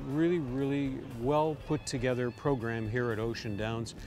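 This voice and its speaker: Clear music plays in the background of this dry recording with no echo. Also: man. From Canada. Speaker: harness race caller. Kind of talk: interview answer. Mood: warm, upbeat. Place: open country. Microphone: lapel.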